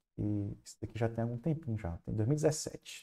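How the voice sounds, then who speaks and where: With a Ceará accent, a man speaks at a moderate pace in a dark, mellow tone of medium pitch, with ordinary pitch variation and a quiet background. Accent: Ceará northeastern. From Fortaleza, Ceará, Brazilian Northeast; Ceará, Brazil. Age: 30s. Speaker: university chemistry professor. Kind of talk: online lecture. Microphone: headset.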